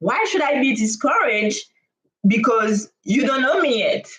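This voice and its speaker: A woman speaks with a non-native accent. Her fairly high pitch moves with lively intonation. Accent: non-native accent, noticeable. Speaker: startup founder. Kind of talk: live stream monologue. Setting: live stream on camera. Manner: hesitant, with frequent fillers.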